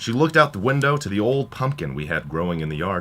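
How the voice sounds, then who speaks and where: A man with vocal fry, a bright, sharp tone, a fairly quick pace, and very wide pitch swings. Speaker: college radio DJ. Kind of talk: radio monologue with comedic storytelling.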